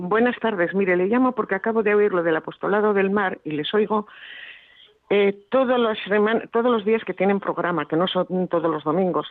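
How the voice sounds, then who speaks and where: Ordinary pitch variation marks a normal speaking voice. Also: woman, medium pitch for a woman, moderate pace. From Basque Country, Bilbao. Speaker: radio listener caller. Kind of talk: phone-in call.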